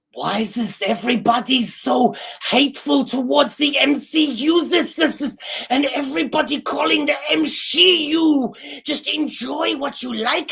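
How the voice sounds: Put-on character voice from a man at an extremely high pitch and a moderate pace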